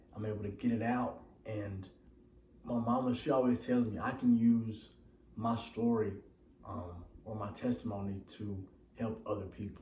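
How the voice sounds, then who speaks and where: Audible room echo surrounds a man with an American accent who speaks at a fairly low pitch and a moderate pace, using fairly even intonation and long, frequent pauses. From Texas, Waco. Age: 20s. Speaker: personal trainer. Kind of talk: personal testimony. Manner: halting, many fillers.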